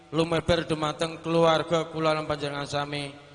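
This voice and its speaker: A man's fairly high voice stays monotone and flat in intonation as he talks at a moderate pace. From Central Java. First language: Javanese (speaking Indonesian). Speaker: Islamic boarding school alumnus representative. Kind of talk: formal welcome speech. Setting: reunion gathering with audience.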